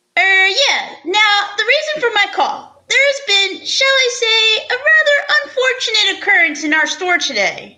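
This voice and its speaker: In a put-on character voice, a woman squeaks at an extremely high pitch with very wide pitch swings, though her loudness stays very even. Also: moderate pace. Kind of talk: 1940s radio acting. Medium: audio drama. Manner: formal, stiff, fussy.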